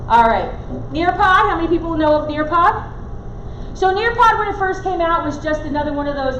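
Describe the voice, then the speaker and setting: The woman speaks with lively intonation. Audible room echo and noticeable background noise surround her. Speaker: teacher trainer. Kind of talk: workshop presentation. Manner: fast.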